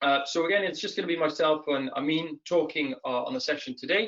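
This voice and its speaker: At a fairly quick pace, a man talks in a fairly high voice. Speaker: webinar host, recruiter. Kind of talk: webinar presentation. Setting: online webinar. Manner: fast.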